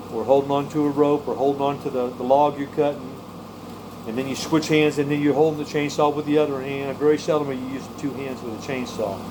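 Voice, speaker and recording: Very fast, monotone, flat speech over noticeable background noise. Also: man, fairly high pitch for a man. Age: 60s. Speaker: prepper vlogger and tree cutter. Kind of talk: casual vlog monologue. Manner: halting, with many repeated words.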